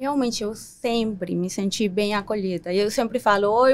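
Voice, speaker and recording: A woman speaks with ordinary pitch variation. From Paraguay. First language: Spanish (speaking Portuguese). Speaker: community leader. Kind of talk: podcast interview.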